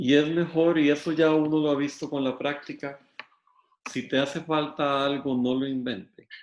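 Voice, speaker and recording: Flat, monotone intonation runs through speech delivered at a moderate speed. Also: man, fairly high pitch for a man. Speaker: law lecturer. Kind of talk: lecture.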